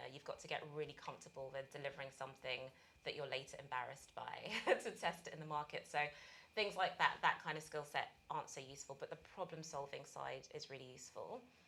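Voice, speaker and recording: This woman talks very fast. Her accent is British. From UK. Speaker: accelerator managing director. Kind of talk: interview.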